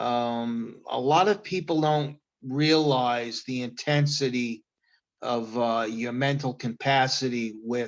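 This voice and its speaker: A man with an American accent, medium pitch, ordinary pitch variation and a very slow pace, against a quiet background. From New York (Queens, Long Island). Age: 60s. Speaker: chef. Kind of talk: testimony. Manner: hesitant, many fillers.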